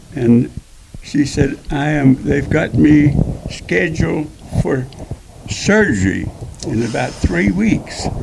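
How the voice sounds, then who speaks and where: A man's fairly high voice, very slow and full of long, frequent pauses, with very wide pitch swings and noticeable background noise. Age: 90s. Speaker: retired rodeo cowboy. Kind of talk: interview testimony.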